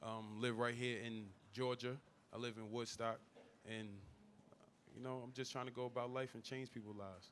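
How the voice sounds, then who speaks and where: With a New York accent, a man speaks in a monotone, flat way, leaving long, frequent pauses. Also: medium pitch for a man, moderate pace. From Staten Island, New York. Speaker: former NFL player, business owner. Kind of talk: panel discussion. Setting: live event with audience.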